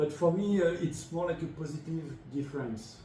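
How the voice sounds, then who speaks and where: A man with a French accent speaks in a space with audible room echo. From France. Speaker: design school head. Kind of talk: interview.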